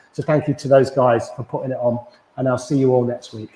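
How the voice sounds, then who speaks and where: A man speaks at a fairly quick pace in a medium pitch, his voice somewhat breathy and his intonation fairly even. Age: 40s. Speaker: yoga instructor. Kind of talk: casual chat to viewers; guided yoga class instruction. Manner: hesitant, filler-heavy; calm, gentle.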